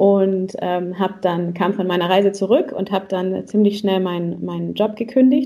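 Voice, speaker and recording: A woman's medium-pitched, an unremarkable speaking voice at a moderate pace, with ordinary pitch variation and hardly any pauses. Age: 30s. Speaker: relationship coach and salsa teacher. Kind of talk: podcast interview.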